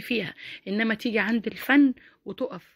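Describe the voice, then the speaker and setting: Animated and fairly high-pitched, a woman with an Egyptian accent speaks at a moderate pace in a very clean recording with a silent background. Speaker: YouTuber. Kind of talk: opinion vlog commentary.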